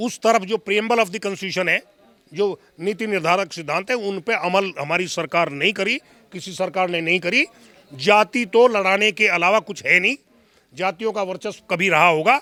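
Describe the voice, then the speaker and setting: A man talks in a raised, projected voice at a high pitch, with ordinary pitch variation and a moderate pace. The tone is bright and sharp, and the sound is dry and close with no echo. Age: 70s. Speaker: interviewee. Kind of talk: interview. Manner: formal.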